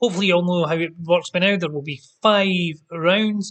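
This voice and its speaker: A loud, high-pitched man speaks in a Scottish accent at a moderate pace with ordinary pitch variation. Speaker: quiz host. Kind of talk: live-streamed pub quiz hosting. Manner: casual, chatty.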